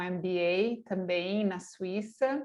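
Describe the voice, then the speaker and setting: Her intonation is fairly even. A woman talks at a medium pitch. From Argentina. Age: 40s. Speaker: online course host, NGO director. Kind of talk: online masterclass presentation.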